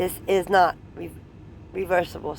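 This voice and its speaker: Over clear background noise, a raspy, put-on character voice at a middle pitch goes at a moderate pace. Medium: read story. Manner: authoritative.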